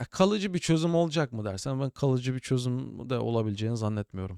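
In a very clean recording with a silent background and a dry, close sound with no echo, a man speaks at a fairly quick pace with very wide pitch swings. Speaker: tech podcast host, cybersecurity. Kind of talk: casual solo tech news commentary. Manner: chatty, informal.

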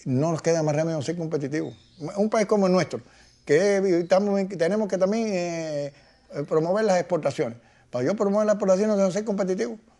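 A man with a high pitch and a dark, mellow tone speaks at a fairly quick pace with ordinary pitch variation. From Cuba. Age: 80s+. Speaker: economist. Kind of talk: interview. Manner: halting. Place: home room.

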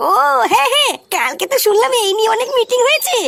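In a cartoonish character voice, a woman speaks at a fairly quick pace with extremely high pitch and very wide pitch swings.

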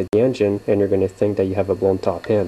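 The man's voice sits at a fairly low pitch. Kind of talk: tutorial. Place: workshop. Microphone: camera far.

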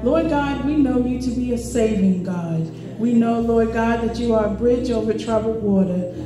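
A woman's voice at a moderate pace, with fairly even intonation, audible room echo and noticeable background noise. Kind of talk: public prayer. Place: church.

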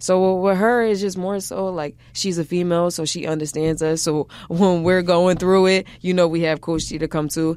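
A normal speaking voice from a woman, fairly low in pitch, at a moderate pace with hardly any pauses. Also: fairly even intonation. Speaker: college basketball player. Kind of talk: interview answer. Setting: studio.

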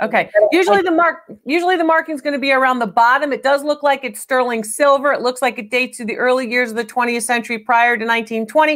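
A woman speaks very fast in a high voice with ordinary pitch variation against a quiet background. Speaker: show host. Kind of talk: live-stream appraisal commentary. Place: studio. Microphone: lapel.

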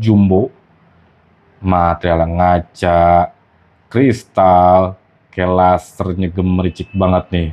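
A man with a very deep, low pitch talks at a very slow pace, leaving long, frequent pauses. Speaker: gem channel host. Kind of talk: street seller pitchman. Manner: animated, excitable.

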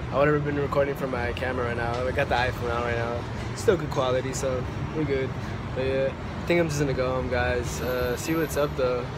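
A man speaks fairly quickly while loud background noise plays behind him. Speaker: vlogger. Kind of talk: casual vlog chat. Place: station. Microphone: phone near.

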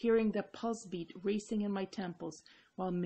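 What this clip holds is plain reading aloud.

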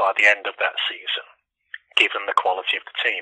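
The voice belongs to a man. He speaks with an East Midlands accent. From Leicester, England. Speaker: economics professor. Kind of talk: interview answer. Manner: hesitant, uses filler words.

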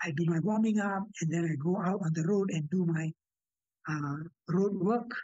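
A man with a high pitch speaks at a moderate pace with ordinary pitch variation and very even loudness, the sound dry with no echo against a quiet background. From Singapore. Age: 80s+. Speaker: retired teacher and athlete. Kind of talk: interview answer. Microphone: video call.

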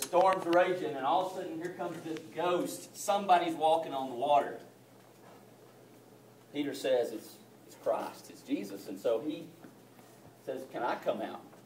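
At a moderate pace, a man speaks in a fairly high pitch with a slightly mellow tone and ordinary pitch variation, with audible room echo around him.

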